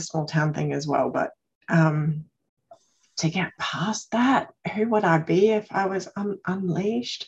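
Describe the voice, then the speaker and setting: A somewhat breathy woman at medium pitch, very slow in pace, with ordinary pitch variation. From Australia, Queensland. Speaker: circle participant. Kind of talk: casual sharing in support circle. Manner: calm.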